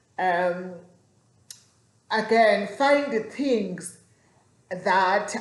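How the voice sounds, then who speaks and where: Her pitch varies in an ordinary way as the woman speaks. Room echo is audible. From South Africa. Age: 40s. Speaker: vlogger. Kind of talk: casual vlog talk. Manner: halting, with repetitions.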